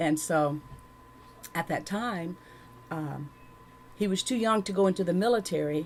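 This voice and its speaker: With a Southern US accent, a woman talks at a moderate pace in a fairly low voice with ordinary pitch variation and long, frequent pauses. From Louisiana, rural. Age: 60s. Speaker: church member giving testimony. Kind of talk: testimony. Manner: halting.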